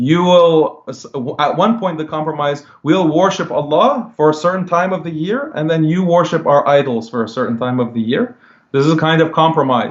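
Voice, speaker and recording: Speaking in a plain, everyday voice, a man keeps his pitch fairly high and varies it in an ordinary way. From United States. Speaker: Islamic writer and commentator. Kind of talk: religious discussion.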